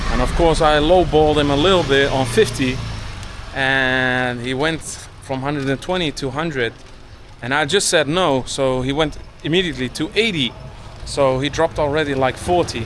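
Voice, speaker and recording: Speaking at a moderate pace amid noticeable background noise, a man with a fairly high pitch shows ordinary pitch variation. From Turkey. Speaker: travel vlogger. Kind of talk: vlog narration. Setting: outdoors. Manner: casual, conversational.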